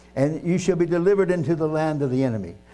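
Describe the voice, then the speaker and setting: Music plays in the background as a man with an American accent speaks at a very fast pace and a fairly high pitch. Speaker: preacher. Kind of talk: sermon with scripture reading, ending in fervent prayer. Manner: earnest, fervent, halting in places; verbose, self-deprecating.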